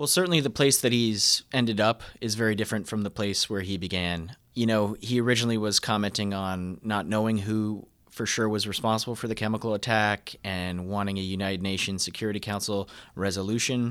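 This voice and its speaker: A man's normal speaking voice, fairly low in pitch, at a fairly quick pace with hardly any pauses and fairly even intonation, on a very clean recording with a silent background. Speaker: political editor. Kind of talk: interview analysis.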